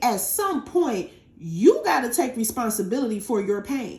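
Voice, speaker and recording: A woman speaks loudly in an animated tone, her high pitch swinging very widely. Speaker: tarot reader. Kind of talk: tarot reading.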